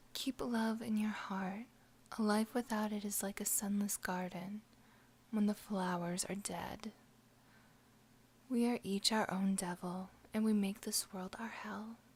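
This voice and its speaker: This speaker is soft-spoken and talks at a fairly slow pace. Long pauses come often. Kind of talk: ASMR quote reading.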